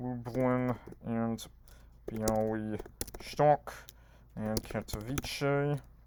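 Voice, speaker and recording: Over noticeable background noise, a man speaks very slowly at a medium pitch with monotone, flat intonation. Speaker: quiz gaming youtuber. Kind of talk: live quiz playthrough commentary.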